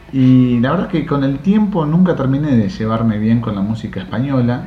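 Lively intonation comes at a moderate pace. The recording has audible room echo and noticeable background noise. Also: man. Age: 40s. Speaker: podcast host. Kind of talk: casual monologue.

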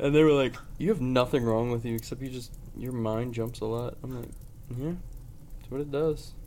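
Amid audible room echo, a man talks at a fairly quick pace with big swings in loudness and long, frequent pauses. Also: medium pitch for a man. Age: 20s. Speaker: podcast co-host. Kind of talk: casual chat. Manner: animated.

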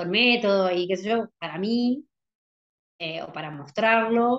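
A woman talks in a plain, everyday voice, pitched fairly high. Her pitch variation is ordinary. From Buenos Aires province, Argentina. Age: 40s. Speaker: visually impaired skater. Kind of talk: interview conversation. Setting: video call.

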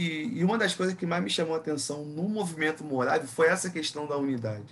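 In a normal speaking voice, a man talks at a moderate pace, fairly high in pitch, with lively intonation. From Brazil, Rio de Janeiro area (Nilópolis). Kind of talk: casual chat.

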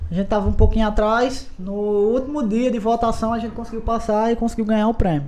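A man's high-pitched voice at a very fast pace with hardly any pauses, fairly even intonation and audible room echo. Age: 20s. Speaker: podcast host, guest. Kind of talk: casual chat.

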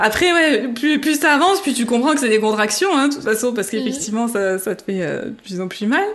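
Over noticeable background noise, a woman speaks at a fairly quick pace with hardly any pauses, her high pitch swinging very widely. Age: 30s. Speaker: mother sharing birth story. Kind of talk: testimony. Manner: hesitant, many fillers.

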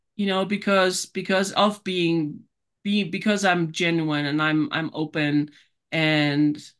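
With a German accent, a woman talks at a fairly low pitch with ordinary pitch variation. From Germany. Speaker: author and life coach. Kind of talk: interview, casual chat. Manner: animated.

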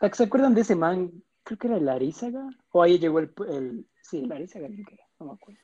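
The speech races at a very fast pace while the pitch swings very widely. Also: man, high pitch for a man, big swings in loudness. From Ecuador. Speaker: podcast host. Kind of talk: casual chat.

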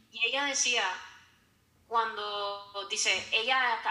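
A woman with a fairly high pitch speaks with music in the background and audible room echo. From Honduras. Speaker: psychologist. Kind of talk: casual interview.

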